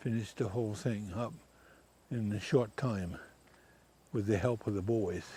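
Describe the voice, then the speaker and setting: A man with an American accent speaks at a moderate pace with fairly low pitch and ordinary pitch variation. His tone is dark, mellow and somewhat breathy, with long, frequent pauses. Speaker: elderly farmer. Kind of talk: casual chat.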